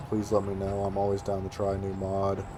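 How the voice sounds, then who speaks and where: Fairly low-pitched male speech at a moderate pace, with noticeable background noise. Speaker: gaming youtuber. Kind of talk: gameplay commentary. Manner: casual, hesitant with fillers.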